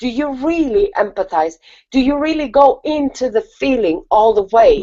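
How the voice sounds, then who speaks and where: A woman with a non-native accent, high in pitch with very wide pitch swings, at a fairly slow pace. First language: not English. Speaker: spiritual talk show co-host. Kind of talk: casual chat.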